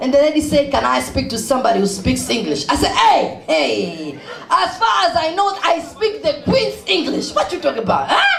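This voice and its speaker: Someone with a Kenyan accent talks at a moderate pace with hardly any pauses, over noticeable background noise. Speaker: speaker at charity event. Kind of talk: humorous speech to audience. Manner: animated.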